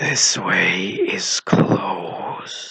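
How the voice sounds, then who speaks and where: In a put-on character voice, the speaker whispers with a raspy, growling sound. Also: man. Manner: menacing, commanding.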